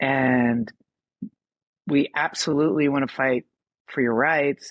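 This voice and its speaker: Very deep and low in pitch, a woman speaks at a very slow pace. The sound is dry and close, with no echo. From US Northeast, Philadelphia. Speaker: writer and filmmaker. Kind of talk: podcast interview. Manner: halting.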